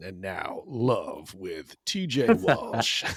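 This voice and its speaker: A man's put-on character voice at a medium pitch. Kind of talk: announcer delivery.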